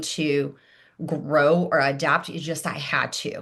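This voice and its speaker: A woman with a Portuguese accent against a quiet background. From Brazil. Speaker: life coach and former engineering leader. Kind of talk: podcast interview. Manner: hesitant, frequent fillers.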